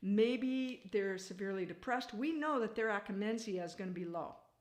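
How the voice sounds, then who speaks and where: Speaking at a moderate pace, a woman with a fairly high pitch shows ordinary pitch variation. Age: 60s. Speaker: wellness product seller. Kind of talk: sales pitch. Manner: animated.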